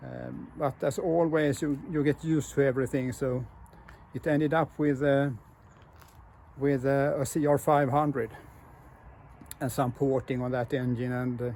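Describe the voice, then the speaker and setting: A man with a dark, mellow tone and a fairly high pitch speaks at a fairly slow pace in a flat monotone, with long, frequent pauses. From Sweden. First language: Swedish. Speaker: motorcycle builder and hobby mechanic. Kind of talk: casual video walkthrough. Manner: halting, many fillers.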